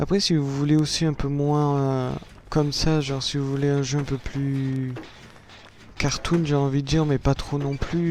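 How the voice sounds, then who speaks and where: Against noticeable background noise, a man talks in a flat monotone at a moderate pace, his pitch fairly high. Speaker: gaming youtuber. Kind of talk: gameplay commentary.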